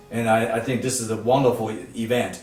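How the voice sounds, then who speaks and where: Noticeable background noise and audible room echo surround the speaker. He is a man with a medium pitch. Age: 70s. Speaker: nonprofit foundation leader. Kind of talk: interview. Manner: halting, many fillers and restarts.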